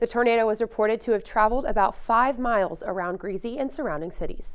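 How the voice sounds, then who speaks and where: A woman's fairly high voice with an American accent, an ordinary speaking voice, ordinary pitch variation and a fairly quick pace. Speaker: television news reporter. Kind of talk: TV news reporter delivery.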